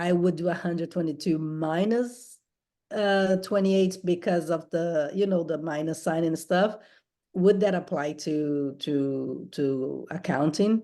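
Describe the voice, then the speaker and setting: A woman speaks with a non-native accent. Her voice is fairly low in pitch, with a dark, mellow tone. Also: ordinary pitch variation, fairly slow pace, quiet background. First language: not English. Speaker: accounting student. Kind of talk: tutoring session.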